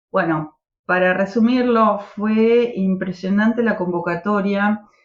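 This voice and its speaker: Very slowly, a woman speaks at medium pitch with fairly even intonation. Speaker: political activist. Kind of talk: podcast interview.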